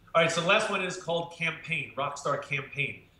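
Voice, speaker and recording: A man talks at a fairly quick pace with audible room echo. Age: 50s. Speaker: marketing speaker; marketing coach guest. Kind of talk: interview. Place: home room. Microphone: webcam.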